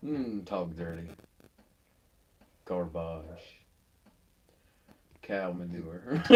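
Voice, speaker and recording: Amid audible room echo, a soft-spoken man with a very deep, low pitch speaks very slowly with ordinary pitch variation and long, frequent pauses. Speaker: miniature painting streamer. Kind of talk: casual chat.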